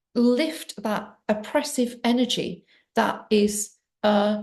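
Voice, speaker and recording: A woman's dark, mellow, somewhat breathy voice at a very slow pace, with fairly even intonation. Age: 60s. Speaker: trauma healing coach and abuse survivor. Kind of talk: personal testimony to camera. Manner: halting, with many fillers.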